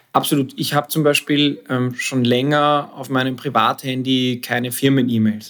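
His speaking pace is moderate. The man's medium pitch shows ordinary variation. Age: 40s. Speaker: advertising creative director. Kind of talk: casual interview. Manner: halting, many fillers and repetitions.

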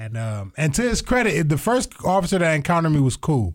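A somewhat breathy man's voice at a fairly quick pace, with lively intonation, on a very clean recording with a silent background. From Toledo, Ohio. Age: 30s. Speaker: comedian. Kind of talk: casual chat.

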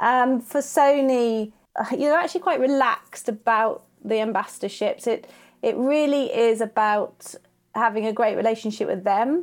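Here a woman speaks in a southern English accent at a high pitch, with ordinary pitch variation, a moderate pace and very even loudness. The recording is very clean, with a silent background. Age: 40s. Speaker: wedding and boudoir photographer. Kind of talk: interview conversation.

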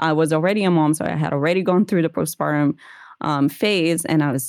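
A woman speaks very fast in a very deep, low voice with ordinary pitch variation. The recording is very clean, with a silent background. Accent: Portuguese. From Brazil (Rio de Janeiro). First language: Portuguese. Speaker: holistic nutrition consultant. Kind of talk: interview conversation.

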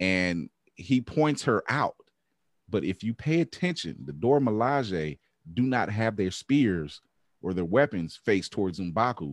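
A man speaks fairly slowly with a fairly low pitch and very wide pitch swings. The sound is dry and close, with no echo. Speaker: podcast host. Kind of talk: casual chat. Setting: video call.

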